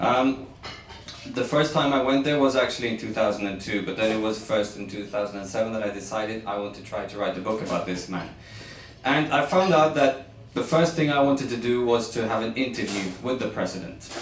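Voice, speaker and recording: A man at a medium pitch and fairly quick pace, with ordinary pitch variation, audible room echo and noticeable background noise. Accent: Norwegian. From Norway. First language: Norwegian. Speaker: journalist and author. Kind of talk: book presentation speech. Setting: embassy event with audience. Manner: halting, with fillers.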